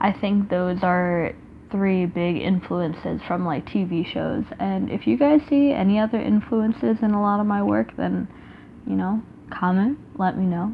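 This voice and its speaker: With lively intonation, a woman talks at a fairly slow pace and a medium pitch. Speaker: artist and YouTuber. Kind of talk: casual talk while sketching. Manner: deliberately slower and calmer than usual; rambling with many fillers.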